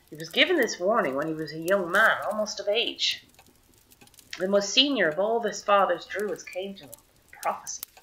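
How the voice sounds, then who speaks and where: Amid noticeable background noise, a woman speaks with lively intonation and big swings in loudness. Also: medium pitch for a woman, moderate pace. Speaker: storyteller. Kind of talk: traditional oral storytelling.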